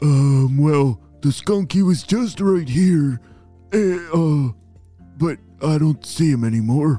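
Over faint music in the background, a man in a put-on character voice speaks at a fairly slow pace and fairly high pitch, with long, frequent pauses. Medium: read story. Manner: hesitant, stammering.

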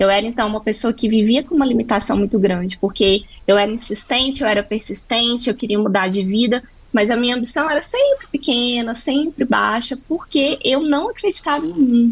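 High-pitched woman at a fairly quick pace, with noticeable background noise. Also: ordinary pitch variation. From Brazil, Minas Gerais (Triângulo Mineiro). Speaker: business mentor for entrepreneurs. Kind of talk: podcast interview.

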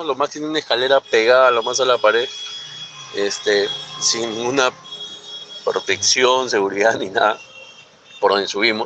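A man keeps a moderate pace while noticeable background noise plays behind him. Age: 40s. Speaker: radio show caller. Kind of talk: anecdote told to radio show.

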